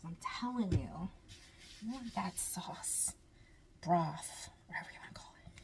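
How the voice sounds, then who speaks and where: Noticeable background noise sits under a woman's whisper. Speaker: home cooking vlogger. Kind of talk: cooking tutorial. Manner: animated; whispering briefly.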